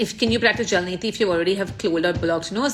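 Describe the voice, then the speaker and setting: A woman talks at a very fast pace in a somewhat breathy voice. Her medium pitch shows ordinary variation. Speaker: ayurveda influencer. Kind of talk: live Q&A.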